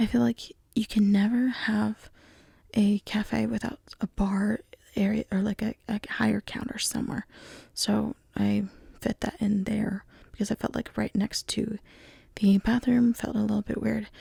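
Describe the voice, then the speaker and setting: The speaker is soft-spoken and keeps a fairly slow pace. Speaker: gaming video creator. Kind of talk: casual commentary over gameplay. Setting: at home at night. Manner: quiet, soft-spoken. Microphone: closer to the mic than normal, may be quiet.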